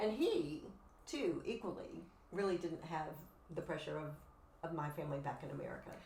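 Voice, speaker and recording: A woman with a Southern US accent and a fairly low pitch speaks at a fairly quick pace with ordinary pitch variation and long, frequent pauses, amid audible room echo and noticeable background noise. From US South, Memphis, Tennessee. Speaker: writer and counsellor. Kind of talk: casual interview chat.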